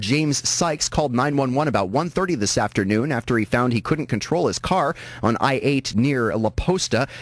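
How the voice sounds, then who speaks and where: A man talks at a moderate pace with hardly any pauses, at a medium pitch and with ordinary pitch variation. His loudness is very even, and he has an unremarkable speaking voice. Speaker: radio news anchor. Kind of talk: radio newscast delivery. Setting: radio station broadcast.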